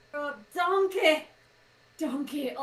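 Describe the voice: This is a put-on character voice in a Scottish accent. The pitch is high.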